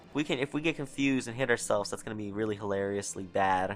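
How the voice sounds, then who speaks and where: Over music in the background, a man with an American accent speaks at a fairly quick pace. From New York. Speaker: gaming video creator. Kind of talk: gameplay commentary. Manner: animated.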